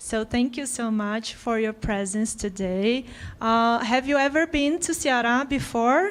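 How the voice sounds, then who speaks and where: A woman with a Portuguese accent speaks at a fairly slow pace in a high voice with ordinary pitch variation, on a very clean recording with a silent background. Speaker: panel facilitator. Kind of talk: panel moderation. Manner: formal.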